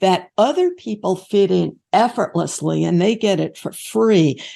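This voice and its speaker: Over a quiet background, a woman talks at a fairly slow pace and medium pitch. Her tone is dark and mellow, with vocal fry. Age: 70s. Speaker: author and researcher. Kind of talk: interview.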